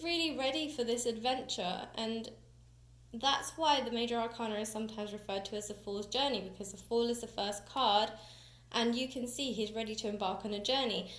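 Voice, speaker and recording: Speaking with a British accent, a woman uses a fairly high pitch and ordinary pitch variation while audible room echo surrounds her voice. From UK. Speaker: tarot reader and teacher. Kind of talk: tutorial. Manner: casual, chatty.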